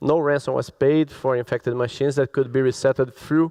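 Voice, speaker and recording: A man with a Brazilian Portuguese accent speaks at a fairly high pitch with fairly even intonation, in a dry, close sound with no echo. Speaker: cybersecurity expert. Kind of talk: conference talk.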